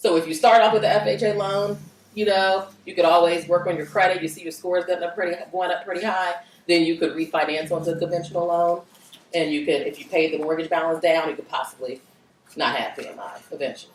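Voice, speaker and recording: The speech runs at a very fast pace with fairly even intonation. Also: woman, fairly low pitch for a woman. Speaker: mortgage lender. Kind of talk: workshop Q&A.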